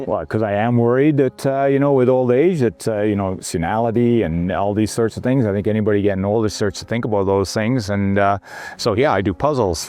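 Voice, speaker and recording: A man with an ordinary speaking voice, fairly low pitch, ordinary pitch variation and a fairly quick pace. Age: 60s. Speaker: retiree and ski tourer. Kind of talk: interview answer. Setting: outdoors.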